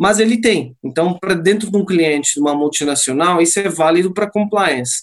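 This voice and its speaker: The man's high voice shows ordinary pitch variation, and the sound is dry and close with no echo. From Portugal. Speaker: live marketing lead, company partner. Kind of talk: casual chat. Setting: video call.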